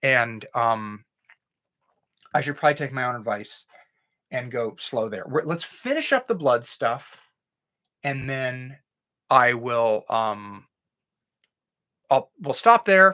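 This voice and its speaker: Someone speaks at a very slow pace with long, frequent pauses in a very clean recording with a silent background. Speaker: science tutor. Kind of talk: live-streamed tutorial. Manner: halting, many restarts.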